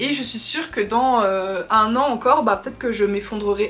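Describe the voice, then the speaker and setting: Noticeable background noise beneath a woman's high pitch and ordinary pitch variation. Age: 20s. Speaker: lifestyle vlogger. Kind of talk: casual chat. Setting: facecam video. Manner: fast.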